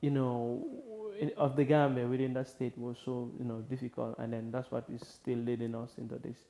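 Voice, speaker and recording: Noticeable background noise sits behind a man speaking at a moderate pace. His voice is medium in pitch and monotone, with flat intonation. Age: young. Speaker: poet. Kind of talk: interview answer. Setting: studio.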